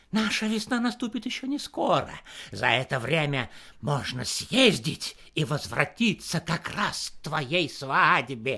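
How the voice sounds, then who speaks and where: Putting on a character voice, a man speaks fairly slowly at a fairly high pitch with very wide pitch swings. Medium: read story.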